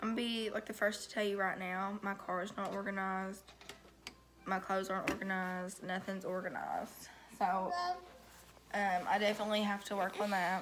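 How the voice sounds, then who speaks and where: A woman speaks in a flat monotone at a medium pitch. There is noticeable background noise. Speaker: vlogger. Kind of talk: casual vlog talk. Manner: halting, many fillers.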